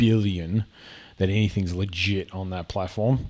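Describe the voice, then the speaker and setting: Fairly quick speech in an Australian accent with fairly even intonation. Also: man. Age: 40s. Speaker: gaming and reaction video creator. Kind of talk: casual commentary reacting to videos. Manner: halting, with many fillers and repetitions.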